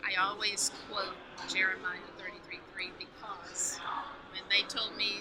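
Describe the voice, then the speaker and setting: A woman whispers at a moderate pace, with audible room echo around her. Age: 60s. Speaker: author. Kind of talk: interview.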